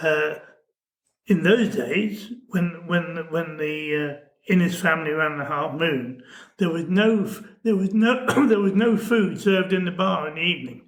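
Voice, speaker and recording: A man speaks at a fairly slow pace with a high pitch. Long, frequent pauses break up his speech. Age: 80s+. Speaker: innkeeper and fishing host. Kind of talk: interview answer.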